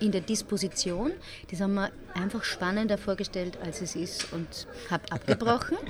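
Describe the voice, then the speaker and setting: Over noticeable background noise, a woman at medium pitch talks at a moderate pace with lively intonation. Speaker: musical theatre performer. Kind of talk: casual interview. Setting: café.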